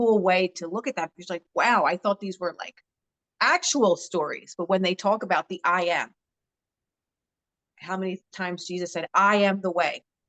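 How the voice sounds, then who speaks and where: A woman with a Philadelphia accent at a moderate pace, with long, frequent pauses, fairly even intonation and a dry, close sound with no echo. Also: medium pitch for a woman. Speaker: social media influencer and author. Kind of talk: interview conversation. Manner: straightforward, direct.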